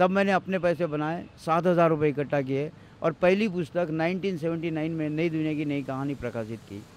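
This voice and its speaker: Pitch rises and falls in an ordinary way. The delivery keeps a moderate pace. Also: man. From India, Maharashtra (Amravati). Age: 60s. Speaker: tea seller and author. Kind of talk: interview testimony.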